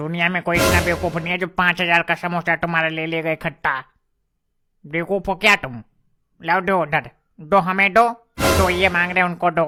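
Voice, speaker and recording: Music plays in the background behind a female-sounding, cartoonish character voice. It talks at a fairly quick pace with a middle pitch. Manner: sarcastic, scolding.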